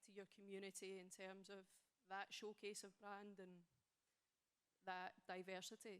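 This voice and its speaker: A woman with a Scottish accent speaks fairly slowly at a medium pitch, her intonation monotone and flat. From Scotland. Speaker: audience member, club staff. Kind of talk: audience question. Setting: stage with audience.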